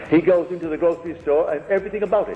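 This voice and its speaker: A man is speaking. Music plays in the background. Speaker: spiritual lecturer. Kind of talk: lecture to a live audience.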